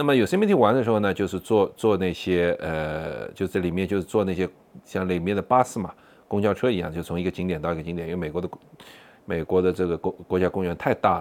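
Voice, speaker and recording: A man with a very deep, low pitch speaks at a very fast pace with ordinary pitch variation. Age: 40s. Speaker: podcaster. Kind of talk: personal storytelling monologue. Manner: halting, many fillers.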